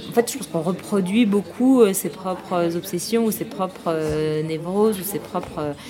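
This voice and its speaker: Fairly slow speech with noticeable background noise and audible room echo. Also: woman, medium pitch for a woman, ordinary pitch variation. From Paris, France. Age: young. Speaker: film director. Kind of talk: casual interview. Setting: outdoor café terrace. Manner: halting.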